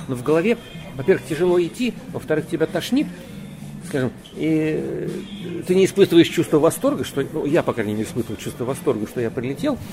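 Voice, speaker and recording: Fairly quick delivery and lively intonation, music playing in the background. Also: man, fairly high pitch for a man. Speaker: cosmonaut. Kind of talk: interview.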